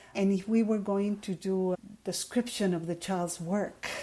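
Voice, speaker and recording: Speaking at a fairly slow pace, a woman has a somewhat breathy, medium-pitched voice with a dark, mellow tone on a very clean recording with a silent background. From Ecuador. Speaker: education professor. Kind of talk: interview.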